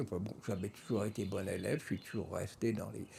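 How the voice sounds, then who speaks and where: A man is speaking. His voice is somewhat breathy. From France. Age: 70s. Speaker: artist. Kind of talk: interview monologue. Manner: hesitant, many fillers.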